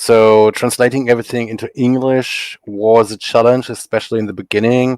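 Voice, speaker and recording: In a German accent, a man of medium pitch speaks at a moderate pace with monotone, flat intonation and hardly any pauses, recorded dry and close with no echo. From Germany. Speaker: comic artist. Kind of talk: podcast interview.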